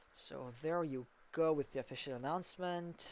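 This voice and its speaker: A Quebec accent at a moderate pace. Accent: French Canadian accent in English. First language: French. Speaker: esports caster. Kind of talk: live commentary.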